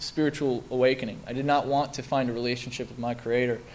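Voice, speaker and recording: Speaking at a very fast pace in an American accent, a man with a medium pitch keeps a monotone, flat intonation amid audible room echo. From US Midwest (Milwaukee, Wisconsin). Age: 20s. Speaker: recovering alcoholic speaker. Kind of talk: testimony. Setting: stage with audience. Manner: halting.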